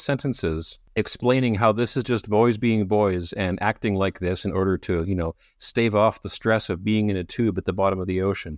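A man with a Canadian accent has a plain, everyday voice at a fairly low pitch. He goes at a moderate pace with ordinary pitch variation, in a dry, close sound with no echo and a quiet background. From Canada. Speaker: podcast co-host discussing a novel. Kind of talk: casual chat.

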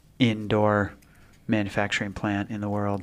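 With a Pacific Northwest accent, a man speaks at a fairly low pitch. His intonation is monotone and flat. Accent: Pacific Northwest American. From Spokane, Washington. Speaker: podcast co-host. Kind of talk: casual chat.

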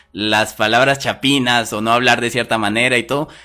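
Music playing behind a man's moderately paced speech. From Guatemala. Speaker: podcast host. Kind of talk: casual chat. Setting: live stream.

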